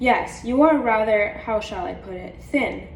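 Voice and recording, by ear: In a put-on character voice, a woman sounds wheezy and raspy at a fairly high pitch, speaking at a moderate pace with big swings in loudness over clear background noise.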